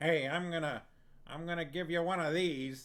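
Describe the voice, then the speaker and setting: A man's put-on character voice, high-pitched and monotone, at a moderate pace. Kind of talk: bad dubbed voice acting.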